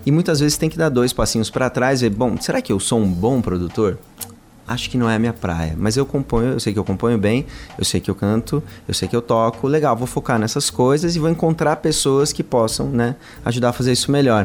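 With an unremarkable speaking voice, a man at medium pitch talks at a fairly quick pace with lively intonation and very even loudness. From São Paulo, Brazil. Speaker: singer-songwriter in a duo. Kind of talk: radio interview. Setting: radio studio.

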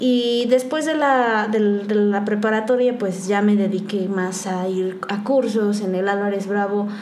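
Over noticeable background noise and audible room echo, a woman with a medium pitch speaks at a fairly slow pace with fairly even intonation and hardly any pauses. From Oaxaca, Mexico. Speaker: photographer. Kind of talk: interview.

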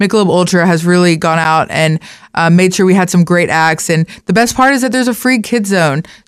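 A woman with an American accent and a plain, everyday voice talks fairly quickly at a fairly low pitch, with ordinary pitch variation and very even loudness, in a very clean recording with a silent background. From Beaumont, Texas. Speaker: tourism marketing director. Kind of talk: radio interview.

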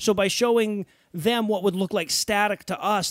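A man at a moderate pace, in a very clean recording with a silent background and a dry, close sound with no echo. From US Midwest, Detroit. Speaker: podcast co-host. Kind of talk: casual chat.

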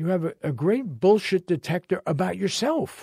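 Dry and close with no echo, this very clean recording with a silent background captures a man at a moderate pace, with lively intonation and a dark, mellow tone. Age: 80s+. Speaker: journalist and podcast host. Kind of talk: interview conversation. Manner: halting, with repetitions.

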